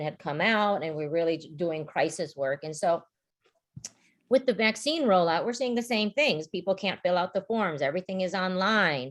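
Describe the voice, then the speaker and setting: Against a quiet background, a woman uses a plain, everyday voice at medium pitch with lively intonation. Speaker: community organization leader. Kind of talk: virtual panel talk.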